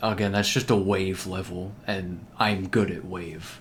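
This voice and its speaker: With audible room echo, a man talks at a fairly slow pace. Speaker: video game streamer. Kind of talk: live gameplay commentary. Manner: stutters, trips over words; casual, filler-heavy.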